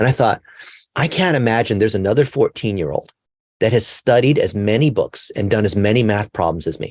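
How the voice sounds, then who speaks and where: In a very clean recording with a silent background and a dry, close sound with no echo, a man with an American accent uses a normal speaking voice at a medium pitch, talking fairly quickly with lively intonation. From California, US. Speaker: digital marketing expert. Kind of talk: interview.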